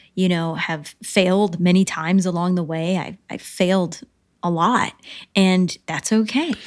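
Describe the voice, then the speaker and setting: On a very clean recording with a silent background, an ordinary speaking voice with an American accent moves at a fairly slow pace with fairly even intonation. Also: woman. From upstate New York and North Carolina. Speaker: writer, producer and actress. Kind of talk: casual interview chat.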